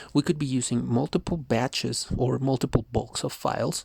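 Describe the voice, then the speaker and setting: A soft-spoken, calm voice moves at a fairly quick pace with ordinary pitch variation, the sound dry and close with no echo. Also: man. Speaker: CCNA network engineer and junior Python programmer. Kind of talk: educational tutorial narration.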